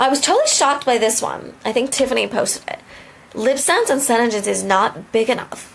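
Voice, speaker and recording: A woman talks at a fairly quick pace in a high pitch. Her pitch varies in an ordinary way, and noticeable background noise is present. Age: 30s. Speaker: lip cosmetics distributor. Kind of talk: motivational live video. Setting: live video. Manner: animated.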